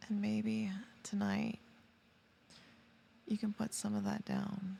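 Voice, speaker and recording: A soft-spoken woman talks at a very slow pace with very even loudness. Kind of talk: ASMR sleep roleplay. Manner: soft-spoken, slow, calming.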